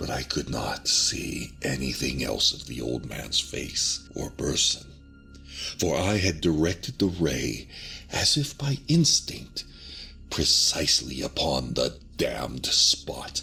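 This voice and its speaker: A man talks very slowly while music plays behind him. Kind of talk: ASMR horror story reading. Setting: binaural recording. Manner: not whispered.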